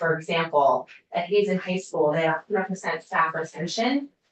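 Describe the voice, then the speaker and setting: This woman has an ordinary speaking voice with a fairly low pitch. She talks at a moderate pace. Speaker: university community schools researcher. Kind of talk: legislative committee testimony.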